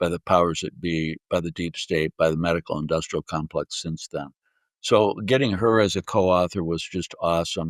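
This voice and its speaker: In a very clean recording with a silent background and a dry, close sound with no echo, a man with a very deep, low pitch talks at a moderate pace with ordinary pitch variation. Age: 70s. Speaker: physician. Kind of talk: interview. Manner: halting, many fillers.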